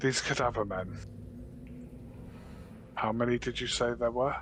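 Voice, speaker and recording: Someone uses a put-on character voice in a British accent at a moderate pace. Clear background noise is present. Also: man, medium pitch for a man. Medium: actual play. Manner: formal, regal, measured.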